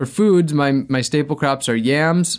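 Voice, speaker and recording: With an American accent, a man talks in an ordinary speaking voice at a moderate pace with ordinary pitch variation. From US Midwest, Wisconsin. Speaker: sustainability activist and adventurer. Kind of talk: interview conversation.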